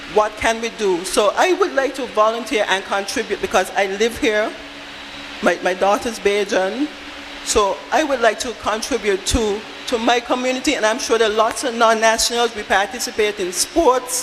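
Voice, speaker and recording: A woman's fairly high voice with ordinary pitch variation, a moderate pace and noticeable background noise. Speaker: audience member at town hall. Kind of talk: public comment at town hall meeting. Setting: town hall meeting at school.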